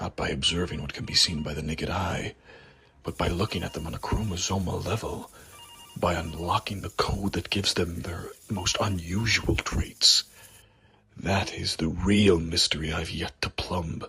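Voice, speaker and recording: With music in the background, a man puts on a character voice with a very deep, low pitch and speaks at a moderate pace. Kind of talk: first-person inner monologue. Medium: read story.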